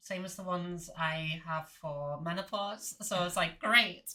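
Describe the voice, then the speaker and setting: In a Liverpool accent, a woman speaks with fairly even intonation and a bright, sharp tone. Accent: Scouse. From Liverpool, northern England. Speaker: podcast host. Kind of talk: casual chat.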